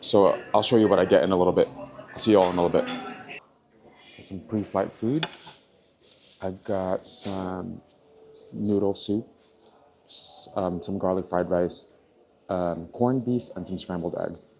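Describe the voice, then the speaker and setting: Quietly and with big swings in loudness, a man with a fairly low pitch speaks at a moderate pace with ordinary pitch variation and long, frequent pauses over noticeable background noise. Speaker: travel vlogger. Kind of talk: travel vlog. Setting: airport lounge. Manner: casual, with fillers; speaking quietly.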